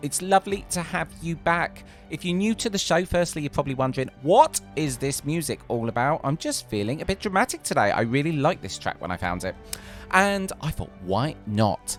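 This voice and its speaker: A man's fairly high voice at a moderate pace, with very wide pitch swings and music in the background. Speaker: podcast host. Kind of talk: podcast intro.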